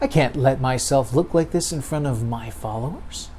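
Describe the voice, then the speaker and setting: A man's put-on character voice, growling, at a medium pitch and moderate pace. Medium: read story. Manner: regal, commanding.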